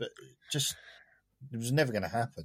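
A man with a normal speaking voice talks in a medium pitch with ordinary pitch variation on a very clean recording with a silent background. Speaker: partner of the host. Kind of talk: casual chat.

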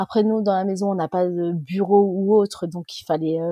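A woman's unremarkable speaking voice comes at a medium pitch and a fairly slow pace. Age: 30s. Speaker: mother interviewed about lockdown. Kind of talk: casual interview.

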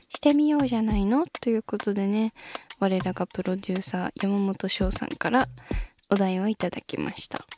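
Dark and mellow in tone, a woman's voice moves at a moderate pace with lively intonation. The sound is dry and close, with no echo. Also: medium pitch for a woman. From Shizuoka, Japan. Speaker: idol singer. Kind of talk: solo podcast talk. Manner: low-key.

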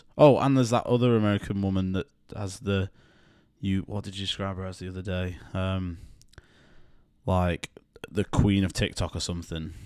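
With a British accent and a very deep, low pitch, a man talks at a moderate pace with fairly even intonation, big swings in loudness and long, frequent pauses, in a very clean recording with a silent background. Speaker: podcast co-host. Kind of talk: casual chat. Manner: joking, self-deprecating.

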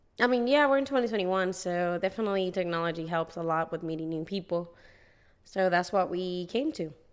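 A woman with a Puerto Rican accent talks fairly quickly at medium pitch. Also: ordinary pitch variation. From Puerto Rico. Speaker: teacher, podcast co-host. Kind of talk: casual chat.

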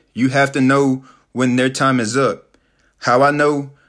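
A man with a Southern US accent speaks at a medium pitch in a monotone, flat intonation. The recording is very clean, with a silent background. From US South, Tennessee. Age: 20s. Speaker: motivational podcaster. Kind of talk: motivational talk. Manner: casual, many fillers.

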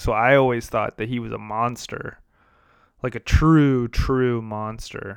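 A man with an ordinary speaking voice talks at a medium pitch and a moderate pace, in an American accent. His intonation is fairly even, and the recording is very clean with a silent background. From US Midwest, downstate Illinois. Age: 30s. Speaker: podcast host. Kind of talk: casual solo monologue.

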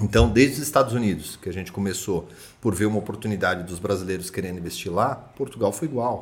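Somewhat breathy and fairly low-pitched, a man speaks very fast with ordinary pitch variation. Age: 30s. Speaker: real estate agency director. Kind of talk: casual chat.

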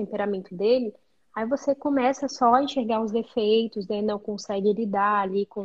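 Speaking at a moderate pace, the woman has an unremarkable speaking voice with ordinary pitch variation. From Brazil, interior of Amazonas. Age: 20s. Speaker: psychologist. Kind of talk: casual interview.

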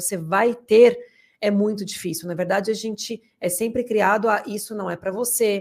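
In a very clean recording with a silent background, a woman speaks in an ordinary speaking voice. Her medium pitch holds fairly even intonation at a moderate pace. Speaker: podcast co-host. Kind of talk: casual interview chat. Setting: studio.

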